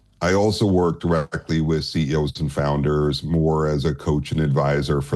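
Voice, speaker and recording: Over noticeable background noise, a man speaks at a moderate pace. His pitch is very deep and low, with fairly even intonation. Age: 60s. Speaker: capital markets advisor. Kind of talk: interview.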